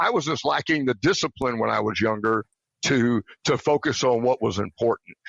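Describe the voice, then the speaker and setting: Vocal fry in a Southern US accent, at a moderate pace, with ordinary pitch variation and very even loudness. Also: man, medium pitch for a man. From Tennessee, later West Virginia. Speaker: retired army officer. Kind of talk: interview.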